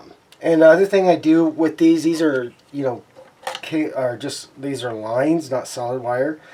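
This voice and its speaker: Over noticeable background noise, a man with a fairly high pitch speaks with big swings in loudness. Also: ordinary pitch variation, moderate pace. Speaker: scale model builder. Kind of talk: tutorial. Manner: halting.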